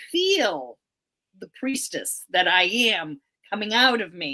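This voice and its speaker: A woman's bright, sharp tone at a fairly slow pace, with an American accent. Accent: Boston accent, comes out at times. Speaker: priestess and psychic show co-host. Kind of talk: casual chat.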